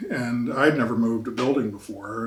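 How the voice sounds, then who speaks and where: In a room with audible echo, a man at medium pitch speaks at a moderate pace with fairly even intonation. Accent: American. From Virginia and Philadelphia. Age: 70s. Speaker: historian. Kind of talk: oral history interview. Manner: halting, with fillers.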